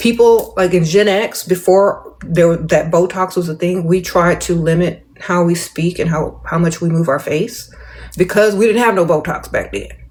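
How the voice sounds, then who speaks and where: Against noticeable background noise, a woman with a fairly low pitch talks at a moderate pace and fairly even intonation. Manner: casual, chatty, addresses listener directly.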